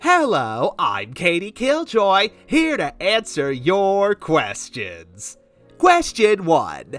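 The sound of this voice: A cartoonish character voice at middle pitch moves at a very slow pace over faint music in the background.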